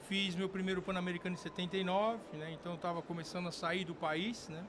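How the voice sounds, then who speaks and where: Speaking at a very fast pace, the man has a high pitch. His intonation stays monotone and flat. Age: 60s. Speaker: firearms industry executive and former sport shooter. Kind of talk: interview podcast. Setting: recorded at a trade event. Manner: hesitant, many fillers.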